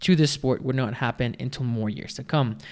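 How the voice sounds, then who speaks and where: Pitch varies in an ordinary way across an unremarkable speaking voice. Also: man. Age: 20s. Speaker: podcast host. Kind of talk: solo commentary podcast.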